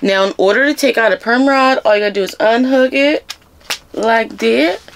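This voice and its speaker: Fairly high female voice with lively intonation at a moderate pace, over noticeable background noise. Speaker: hair care YouTuber. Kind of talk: product review tutorial vlog. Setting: at home, filming herself. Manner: animated; casual, chatty.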